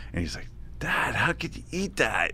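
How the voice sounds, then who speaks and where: A man talks in a Long Island accent. His voice has vocal fry. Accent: Long Island New York. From Long Island, New York. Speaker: author. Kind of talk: casual interview chat.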